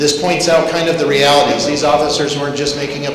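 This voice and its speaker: There is audible room echo and light background noise as a man speaks in a monotone, flat intonation. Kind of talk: public talk to students. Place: hall. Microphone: handheld.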